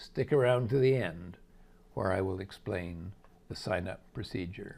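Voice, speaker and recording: Somewhat breathy, a man speaks at a fairly slow pace. His pitch varies in an ordinary way. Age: 80s+. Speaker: investment analyst and portfolio manager. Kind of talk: scripted market commentary. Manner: measured, formal.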